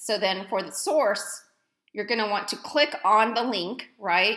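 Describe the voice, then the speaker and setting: A bright, sharp tone delivered loudly with an American accent. The pace is moderate. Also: woman. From East Dallas, Texas. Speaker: college professor. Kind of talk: recorded lecture tutorial. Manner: loud, energetic; casual, conversational.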